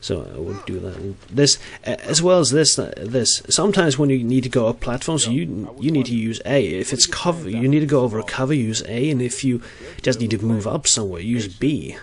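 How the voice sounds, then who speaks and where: A man speaks with a non-native accent at a fairly quick pace. His medium-pitched voice has lively intonation. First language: Norwegian. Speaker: gaming video creator. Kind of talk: game commentary voice-over. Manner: halting, many fillers and restarts.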